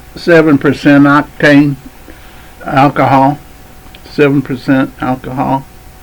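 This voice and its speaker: Noticeable background noise sits behind a man who talks at a fairly slow pace, with long, frequent pauses and a monotone, flat intonation. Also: fairly high pitch for a man. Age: 70s. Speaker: vlogger. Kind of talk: casual chat. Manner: halting.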